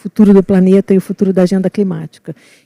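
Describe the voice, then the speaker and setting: A woman speaks at a fairly quick pace in a dark, mellow, somewhat breathy tone, with a dry, close sound and no echo. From Rio de Janeiro, Brazil. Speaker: environmental consultant, panelist. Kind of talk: panel discussion.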